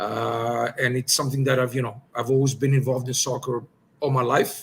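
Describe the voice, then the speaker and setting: In a Greek accent, a somewhat breathy man talks at a fairly quick pace with monotone, flat intonation. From Greece, moved to Montreal at ten. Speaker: soccer technical director, former pro player. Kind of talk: podcast interview. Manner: hesitant, many fillers.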